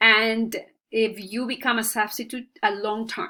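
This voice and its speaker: A woman's fairly high voice in a Spanish accent at a fairly slow pace, in a very clean recording with a silent background. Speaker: student, stay-at-home mom. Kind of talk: class presentation. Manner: halting, many fillers.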